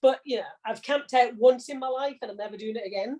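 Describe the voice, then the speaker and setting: A woman talks at a very fast pace and a fairly high pitch. Her intonation stays fairly even. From Corby, English Midlands. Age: 60s. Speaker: retired logistics manager. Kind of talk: interview. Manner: conversational, some hesitation.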